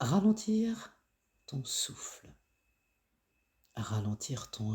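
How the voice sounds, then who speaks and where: A man's dark, mellow, somewhat breathy voice at medium pitch and a very slow pace, with very wide pitch swings. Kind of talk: guided self-care reflection voice-over. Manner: slow, soft-spoken.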